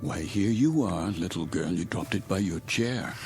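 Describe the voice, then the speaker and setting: Over clear music in the background, a man puts on a character voice, fairly low in pitch, at a moderate pace. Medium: audio drama. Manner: halting, distracted.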